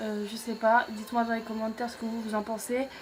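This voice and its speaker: Over noticeable background noise, a woman talks with a fairly high pitch in monotone, flat intonation. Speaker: YouTuber, wrestling show reviewer. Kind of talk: casual show recap to camera. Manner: hesitant, many fillers.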